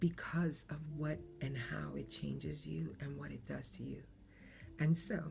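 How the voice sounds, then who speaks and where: Music plays in the background with audible room echo as a woman with an American accent speaks at a fairly slow pace. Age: 50s. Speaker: podcaster. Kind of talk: personal reflective monologue. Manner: halting.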